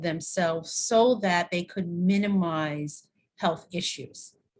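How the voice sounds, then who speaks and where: In an American accent, a woman with a medium pitch and ordinary pitch variation talks at a fairly slow pace, sounding somewhat breathy. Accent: slight New York accent, comes out at times. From New York. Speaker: university dean and wellness expert. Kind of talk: podcast interview.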